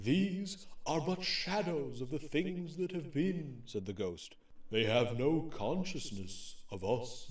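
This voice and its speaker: A man uses a soft-spoken, put-on character voice, fairly high in pitch and fairly slow in pace. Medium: audio drama. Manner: calm, solemn.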